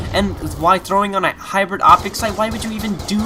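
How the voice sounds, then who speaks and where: A man speaks fairly quickly while noticeable noise carries on behind him. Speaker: gaming commentator. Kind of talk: gameplay commentary. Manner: animated.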